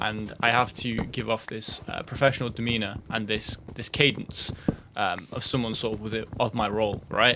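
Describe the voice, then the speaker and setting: The man's voice sits at a medium pitch. He speaks with monotone, flat intonation. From Britain. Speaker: gaming YouTuber. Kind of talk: casual gameplay commentary. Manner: fast, words run together.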